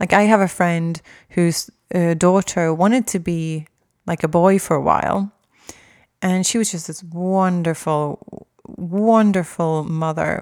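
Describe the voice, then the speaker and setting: A woman speaks in a fairly low voice at a fairly slow pace, with fairly even intonation. The recording is very clean, with a silent background. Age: 40s. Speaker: spiritual podcast host. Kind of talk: solo monologue. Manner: halting.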